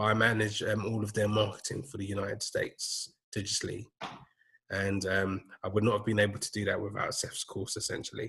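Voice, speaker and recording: With a London accent, a man talks at a fairly quick pace in a fairly low pitch, his bright, sharp tone held to a monotone, flat intonation. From London, England. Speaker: digital marketing manager. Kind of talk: casual interview chat. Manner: hesitant, many fillers.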